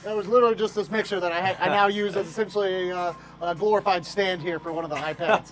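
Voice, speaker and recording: The voice moves at a very fast pace with fairly even intonation, and music plays in the background. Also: man, high pitch for a man. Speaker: team director of community and entertainment and public address announcer. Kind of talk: interview answer. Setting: ballpark grandstands and press box.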